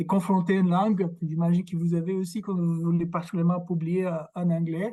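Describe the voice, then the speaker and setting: A man speaks in a high pitch with a dark, mellow tone. His intonation is monotone and flat. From Brazil. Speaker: academic researcher. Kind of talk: lecture. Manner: halting, many fillers and repetitions.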